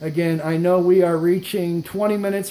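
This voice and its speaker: Noticeable background noise surrounds a man with a high pitch. He keeps a fairly quick pace and fairly even intonation. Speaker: tech YouTuber and device seller. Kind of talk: tutorial. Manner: fast.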